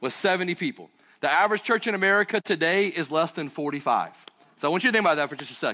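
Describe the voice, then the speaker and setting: A man talks at a very fast pace and a high pitch. His tone is bright and sharp. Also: ordinary pitch variation. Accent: Southern US. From US South, North Carolina. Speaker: pastor. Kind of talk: sermon. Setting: church stage with audience.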